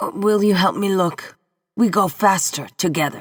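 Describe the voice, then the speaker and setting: A female-sounding voice at middle pitch, raspy and put-on like a character, moves at a moderate pace. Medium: read story. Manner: desperate, insistent.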